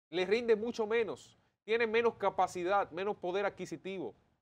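Ordinary pitch variation at a fairly quick pace. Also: man. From Dominican Republic. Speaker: political commentator. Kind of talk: opinion commentary. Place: studio. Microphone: lapel.

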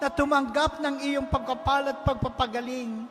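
The speaker has a Filipino accent. Background noise is noticeable. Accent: Filipino English and Tagalog. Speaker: prayer leader. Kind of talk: fervent healing prayer. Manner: earnest, pleading, imploring; emphatic, rising to commanding declarations.

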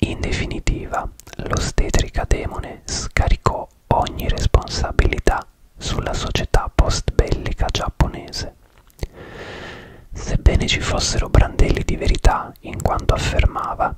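A man's soft-spoken whisper at a fairly slow pace, with long, frequent pauses, a dry sound with no echo and noticeable background noise. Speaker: true crime narrator. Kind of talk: true crime storytelling narration. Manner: close-up ASMR whisper, soft and intimate. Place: home room. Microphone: studio mic.

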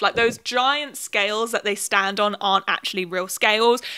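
A woman with a British accent, her fairly high voice bright and sharp, against a quiet background. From UK. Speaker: YouTuber. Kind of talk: video commentary essay. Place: home room. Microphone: handheld.

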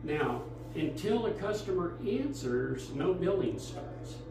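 Amid audible room echo and music in the background, a man speaks at a very slow pace. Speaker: museum docent guide. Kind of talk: guided tour explanation. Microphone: camera far.

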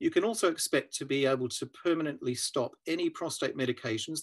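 A man with a New Zealand accent at a fairly quick pace against a quiet background. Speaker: urological surgeon. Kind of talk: scripted explainer. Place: home room. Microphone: webcam.

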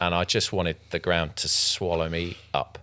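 With vocal fry and a bright, sharp tone, a man speaks at a very deep, low pitch. His intonation is fairly even, and his pace is moderate. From Germany. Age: middle-aged. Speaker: vintage gun specialist and journalist; journalist. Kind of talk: casual interview. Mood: relaxed, reflective, lightly humorous. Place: studio. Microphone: studio mic.

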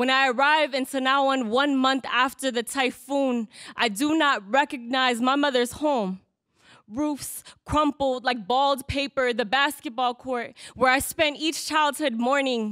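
A woman speaks at a fairly slow pace with a high pitch and a bright, sharp tone. Her pitch varies in an ordinary way, and the background is quiet. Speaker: spoken word poet. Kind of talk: spoken word poetry performance. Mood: grieving, defiant. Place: hall.

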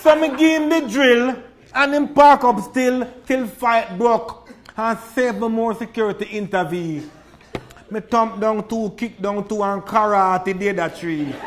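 A man with a Jamaican accent and high pitch speaks at a fairly slow pace with ordinary pitch variation. Noticeable background noise can be heard. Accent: Jamaican Creole. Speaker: poet. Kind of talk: poetry reading.

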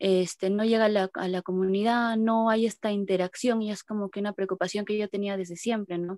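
With hardly any pauses, a woman speaks at a fairly quick pace in a monotone, flat intonation, in a dry sound with no echo against a quiet background. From Peru. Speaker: archaeologist and feminist activist. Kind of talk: participant introduction. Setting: video call. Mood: reflective, somewhat hesitant. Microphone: video call.

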